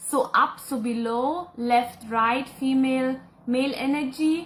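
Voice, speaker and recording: Very slowly, a woman talks with a high pitch and fairly even intonation. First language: German. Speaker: spiritual channeler and psychic. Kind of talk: live Q&A reading viewer comments. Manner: casual, with hesitations.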